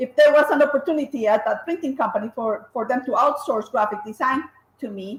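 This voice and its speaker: A fairly quick pace with ordinary pitch variation. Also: woman, high pitch for a woman. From Colombia. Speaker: graphic designer and business owner. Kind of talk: interview. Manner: hesitant, many fillers and restarts.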